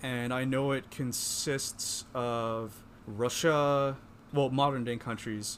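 A man talks very slowly with an American accent. His medium pitch stays monotone, with flat intonation. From Pennsylvania. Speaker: podcast co-host, journalist. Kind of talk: casual chat.

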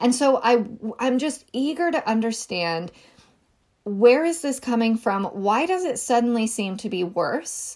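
A plain, everyday voice with an American accent moves at a fairly slow pace with lively intonation. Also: woman, fairly high pitch for a woman. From rural Northern California. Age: 30s. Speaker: podcast host. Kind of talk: solo commentary podcast. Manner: conversational, with frequent self-corrections.

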